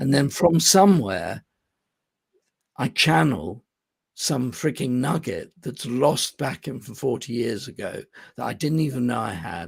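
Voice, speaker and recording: A man with an English accent and a medium pitch speaks at a fairly slow pace with vocal fry, very wide pitch swings, and long, frequent pauses. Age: 60s. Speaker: business coach. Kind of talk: podcast interview. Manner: halting.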